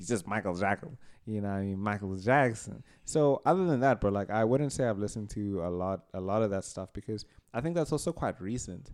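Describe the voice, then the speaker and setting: Over a very clean recording with a silent background, a man speaks at a fairly quick pace. He has a plain, everyday voice, fairly low in pitch, with ordinary pitch variation. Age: young. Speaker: podcast co-host. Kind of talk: casual chat.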